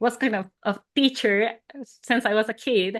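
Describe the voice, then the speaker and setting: A woman with a strong non-native accent talks at a fairly slow pace in a bright, sharp tone. Her pitch is fairly high, and the background is quiet. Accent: non-native English, thick. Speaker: surface pattern designer and illustrator. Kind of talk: interview conversation.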